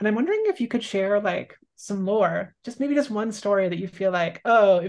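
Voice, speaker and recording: A normal speaking voice from a woman, medium in pitch, ordinary in pitch variation, fairly quick in pace, against a quiet background. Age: middle-aged. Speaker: podcast co-host. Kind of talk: casual interview chat. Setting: video call.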